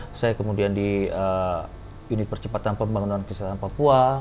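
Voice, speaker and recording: Here a man is speaking. He goes at a fairly quick pace. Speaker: heart and lung surgeon. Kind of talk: testimony. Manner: animated.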